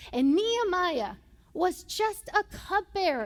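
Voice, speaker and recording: Very wide pitch swings in a Puerto Rican accent. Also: woman. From Puerto Rico. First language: Spanish. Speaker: pastor. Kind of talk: sermon. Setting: church. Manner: animated.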